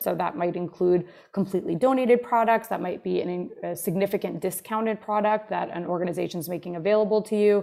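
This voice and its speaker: A woman with an American accent, very fast and with hardly any pauses, medium-pitched, dark and mellow in tone, her intonation fairly even. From New Jersey, Jersey Shore. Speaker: nonprofit tech manager. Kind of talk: interview.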